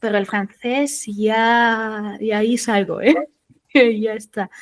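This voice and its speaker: Speaking very slowly in a German accent, a woman uses a fairly high pitch and fairly even intonation. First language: German (speaking Spanish). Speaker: SEO consultant. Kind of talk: interview.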